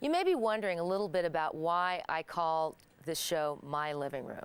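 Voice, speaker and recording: This woman has a fairly low voice and lively intonation. She talks at a moderate pace. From Kansas, US Midwest. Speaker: talk show host. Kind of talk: scripted monologue to camera.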